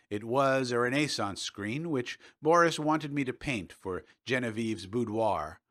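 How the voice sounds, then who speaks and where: On a very clean recording with a silent background, a man with a medium pitch and an ordinary speaking voice talks at a moderate pace. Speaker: audiobook narrator. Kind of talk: audiobook fiction reading.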